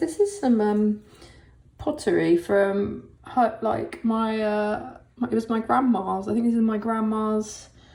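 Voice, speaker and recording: A woman with a southern English accent sounds relaxed and somewhat breathy at a fairly high pitch. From England, Essex. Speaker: artist. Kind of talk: casual tutorial-style sketchbook tour. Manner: relaxed, hesitant with many fillers; slow-paced.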